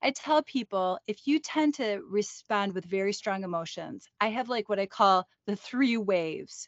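A woman with an unremarkable speaking voice, lively intonation and a fairly slow pace. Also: medium pitch for a woman, hardly any pauses. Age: 50s. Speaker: psychologist and podcast co-host. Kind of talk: casual educational chat.

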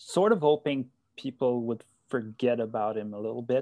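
The recording is very clean, with a silent background. A man speaks at medium pitch in a dark, mellow tone with fairly even intonation. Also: dry, close sound with no echo. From Quebec, Gatineau. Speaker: fantasy hockey player. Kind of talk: interview. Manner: halting.

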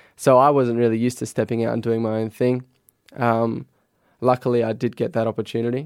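Talking at a fairly quick pace in a flat monotone, a man with an Australian accent is heard on a very clean recording with a silent background. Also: medium pitch for a man, dry, close sound with no echo. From Adelaide, South Australia. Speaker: professional footballer. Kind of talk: casual interview. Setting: studio.

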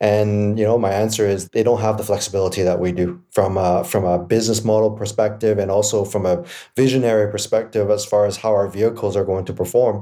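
A man with a Canadian accent speaks at a very fast pace with hardly any pauses, his dark, mellow tone sitting fairly low in pitch over fairly even intonation. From Canada, East Vancouver. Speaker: electric motorcycle company co-founder. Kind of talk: interview.

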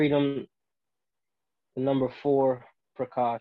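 A man with an American accent speaks at medium pitch in a monotone, flat way. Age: 20s. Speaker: wrongfully accused defendant. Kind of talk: interview.

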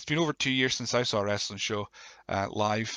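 A man speaks with a croaky, fairly low voice and a bright, sharp tone. The sound is dry and close, with no echo.

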